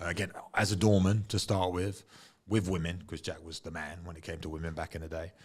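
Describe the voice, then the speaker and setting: With an English accent, the speaker goes at a very fast pace in a flat monotone, on a very clean recording with a silent background. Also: man, very deep, low pitch for a man, big swings in loudness. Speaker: former UFC fighter. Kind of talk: casual chat. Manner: loud.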